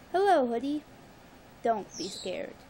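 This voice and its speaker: Using a put-on character voice, a woman speaks at a high pitch and moderate pace over clear background noise. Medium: read story.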